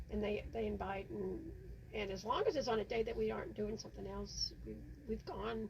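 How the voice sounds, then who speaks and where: Background noise is clearly audible while a woman talks rather briskly. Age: 70s. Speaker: podcast host. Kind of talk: casual chat.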